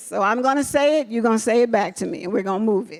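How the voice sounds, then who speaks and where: Talking very fast in an animated tone, a woman uses a high pitch with ordinary variation against noticeable background noise. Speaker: nonprofit leader. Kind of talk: motivational speech.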